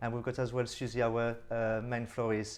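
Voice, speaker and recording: A man speaks with a slight French accent at a medium pitch and a moderate pace. His intonation is monotone and flat. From France. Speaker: florist, business owner. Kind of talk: radio interview.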